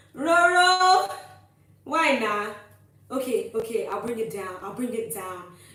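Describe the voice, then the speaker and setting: Noticeable background noise sits behind a woman speaking in an American accent at a fairly slow pace. She leaves long, frequent pauses and her pitch swings very widely. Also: fairly high pitch for a woman, big swings in loudness. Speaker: livestreamer reading chat.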